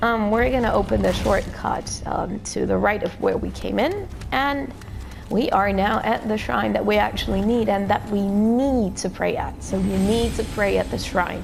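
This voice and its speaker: A woman with a non-native accent talks at a moderate pace amid noticeable background noise and audible room echo. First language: not English. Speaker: gaming YouTuber. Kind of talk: gameplay tutorial commentary. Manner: hesitant, many fillers.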